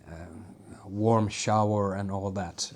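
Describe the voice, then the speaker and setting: Talking at a fairly slow pace, a man with a Finnish accent has a fairly low pitch. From Finland. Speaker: YouTuber. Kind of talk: casual vlog monologue. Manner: halting, many fillers.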